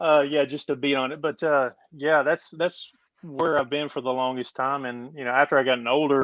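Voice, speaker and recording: Man with an East Texas accent, fairly high-pitched, monotone and flat, at a moderate pace. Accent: East Texas Southern US. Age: 50s. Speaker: overlander and former rock crawler. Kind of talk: casual interview chat.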